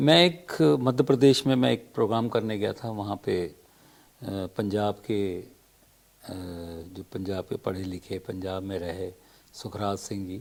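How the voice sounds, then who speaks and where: Long, frequent pauses break up this man's speech, his fairly low pitch varying in an ordinary way while his loudness swings widely. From Madhya Pradesh, India. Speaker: playback singer. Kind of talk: interview. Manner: hesitant, with filler sounds.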